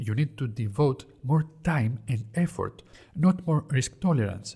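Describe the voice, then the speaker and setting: A man with a Greek accent speaks at a fairly slow pace and medium pitch, somewhat breathy with lively intonation. His tone is dark and mellow, and the recording is very clean with a silent background. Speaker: investing educator. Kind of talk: educational explainer.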